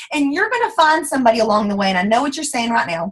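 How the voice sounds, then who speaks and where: Her tone animated, a woman speaks with very wide pitch swings. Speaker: network marketing team leader. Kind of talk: motivational talk. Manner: fast.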